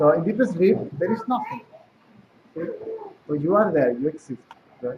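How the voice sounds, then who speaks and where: Against noticeable background noise, a man with a high voice speaks at a moderate pace, his pitch swinging very widely. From South America. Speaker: spiritual teacher. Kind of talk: spiritual talk.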